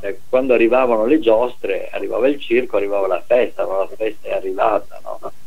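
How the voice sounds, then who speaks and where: A man speaks over noticeable background noise. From northern Italy, Veneto (Treviso area). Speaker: retired professor, sociologist. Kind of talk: interview. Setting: phone call.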